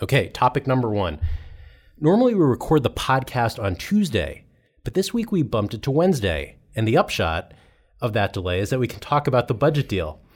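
In a very clean recording with a silent background, a man with vocal fry talks at a fairly quick pace, his medium pitch swinging very widely. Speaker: podcast host. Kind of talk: casual panel discussion.

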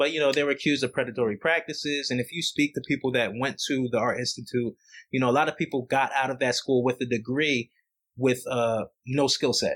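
In a very clean recording with a silent background and a dry, close sound with no echo, a man with an unremarkable speaking voice talks at medium pitch with fairly even intonation and a fairly quick pace. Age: 30s. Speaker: podcast host. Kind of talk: casual chat.

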